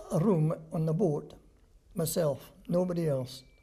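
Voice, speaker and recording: With a Scottish accent, a man speaks in a fairly high pitch and a dark, mellow tone. His pace is fairly slow, with ordinary pitch variation. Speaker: war veteran. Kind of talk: interview answer.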